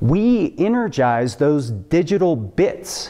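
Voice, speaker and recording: A man's voice at a very slow pace with very wide pitch swings. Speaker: preacher. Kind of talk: sermon. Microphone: webcam.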